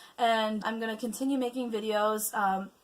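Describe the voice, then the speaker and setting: A woman's words come at a moderate pace, with noticeable noise in the background. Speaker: vlogger and opera singer. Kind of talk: casual vlog update. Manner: stutters, hesitant with many fillers.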